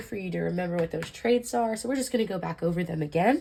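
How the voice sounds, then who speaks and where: This is a woman speaking. There is some breathiness in her voice. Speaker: anatomy tutor. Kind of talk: casual educational explanation.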